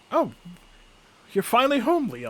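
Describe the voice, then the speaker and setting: A fairly high pitch carries this put-on character voice. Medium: actual play.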